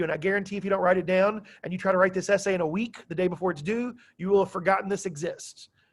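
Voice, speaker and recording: A man talks in a high-pitched voice. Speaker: high school history teacher. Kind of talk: classroom lecture. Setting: classroom. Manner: loud; animated.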